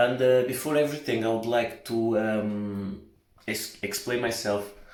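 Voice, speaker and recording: A man with a Portuguese accent speaks at a fairly slow pace, with medium pitch and ordinary pitch variation. There is audible room echo. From Portugal. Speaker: vlogger. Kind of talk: casual vlog monologue. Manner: halting, many fillers.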